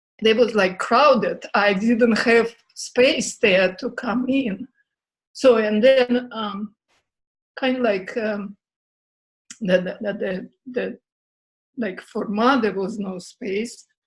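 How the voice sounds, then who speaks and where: Somewhat breathy speech comes at a very slow pace with fairly even intonation and long, frequent pauses. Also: woman, fairly high pitch for a woman. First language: not English. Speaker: workshop participant. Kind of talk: sharing experience. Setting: video call. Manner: halting.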